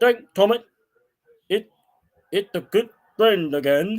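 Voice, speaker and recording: A man uses a put-on character voice at a high pitch. His pace is fairly slow. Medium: read story.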